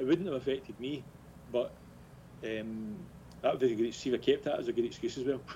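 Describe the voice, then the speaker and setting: Speaking very fast yet with long, frequent pauses, a man uses a dark, mellow, somewhat breathy tone at medium pitch with ordinary pitch variation. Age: 40s. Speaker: football club director. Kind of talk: casual interview.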